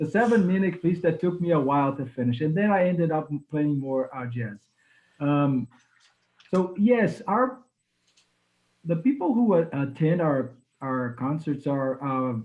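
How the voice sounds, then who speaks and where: With a Portuguese accent, this speaker goes at a fairly slow pace, leaving long, frequent pauses. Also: man, fairly high pitch for a man, lively intonation. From Brazil, Recife. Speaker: musician, pianist. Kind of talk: interview. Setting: Facebook live stream. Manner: halting.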